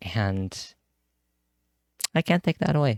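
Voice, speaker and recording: A soft-spoken man with a fairly low, dark and mellow voice, recorded dry and close with no echo. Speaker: vlogger. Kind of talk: personal reflection monologue. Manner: halting.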